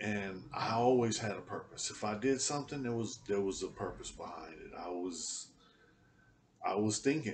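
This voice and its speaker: A man at a moderate pace, ordinary pitch variation, light background noise behind him. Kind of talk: casual vlog chat. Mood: reflective, matter-of-fact. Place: home room. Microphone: webcam.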